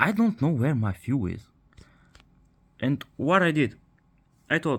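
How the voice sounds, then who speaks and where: A man with a Bulgarian accent speaks at a fairly slow pace in a somewhat breathy, fairly high voice with very wide pitch swings. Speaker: car repair video maker. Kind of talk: tutorial. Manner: halting.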